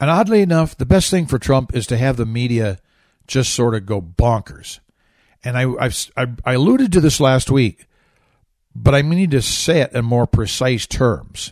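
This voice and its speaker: In a very clean recording with a silent background, a man talks at a moderate pace with lively intonation. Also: medium pitch for a man. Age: 60s. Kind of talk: radio commentary. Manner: animated.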